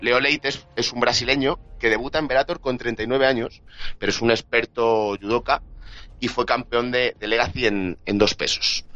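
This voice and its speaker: A man speaks with a Madrid accent at a medium pitch. His tone is bright and sharp, and his pace fairly slow. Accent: Castilian Spanish (Madrid). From Spain, Madrid. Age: 20s. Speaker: sports journalist. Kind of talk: casual chat.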